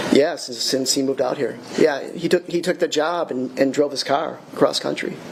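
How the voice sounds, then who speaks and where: Against noticeable background noise, a man talks at a moderate pace with hardly any pauses, his fairly high pitch held in fairly even intonation. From Wisconsin, Milwaukee. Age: 60s. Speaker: witness, brother of murder victim. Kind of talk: court testimony. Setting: courtroom. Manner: halting.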